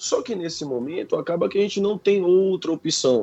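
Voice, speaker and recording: A man is speaking. His pitch is high. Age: 30s. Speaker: university professor. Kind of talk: radio interview.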